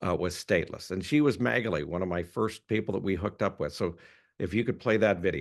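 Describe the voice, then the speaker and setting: A man with a Canadian accent, very deep and low in pitch, very fast, with lively intonation, against a quiet background. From Canada. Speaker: citizenship rights advocate. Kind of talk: presentation talk.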